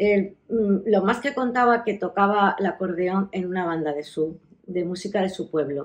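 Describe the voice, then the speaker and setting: The pitch of this woman's voice sits in the medium range. It shows ordinary variation. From Melilla, Spain. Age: 60s. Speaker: oral history interviewee. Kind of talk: life story interview. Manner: halting, with many fillers.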